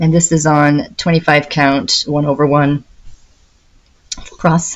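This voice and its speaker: The speaker is soft-spoken and keeps a very even loudness. The pace is very slow. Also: woman, very deep, low pitch for a woman. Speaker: cross-stitch video creator. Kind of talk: casual hobby update talk. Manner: soft-spoken, trying to be quiet; chatty, hesitant with fillers.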